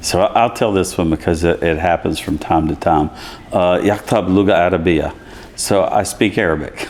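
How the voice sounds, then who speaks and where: A man's very deep, low voice in a Southern Appalachian accent, at a moderate pace with fairly even intonation and very even loudness, over noticeable background noise. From US South, East Tennessee. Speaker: college chancellor. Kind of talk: interview. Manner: conversational, many fillers.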